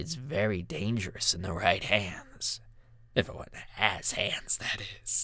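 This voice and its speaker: In a raspy, put-on character voice, a man talks at a fairly slow pace. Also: fairly low pitch for a man. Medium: read story. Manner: snide, mocking.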